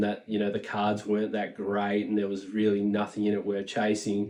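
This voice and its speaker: Fairly low male voice with an Australian accent, monotone and flat in intonation, at a moderate pace. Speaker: Pokemon card collector and YouTuber. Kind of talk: casual commentary monologue. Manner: casual, many filler words.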